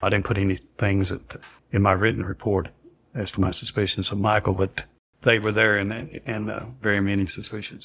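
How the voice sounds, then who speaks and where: This speaker talks at a fairly quick pace with a Southern US accent, keeping the intonation monotone and flat. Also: man, fairly low pitch for a man. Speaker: former paramedic. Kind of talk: interview testimony.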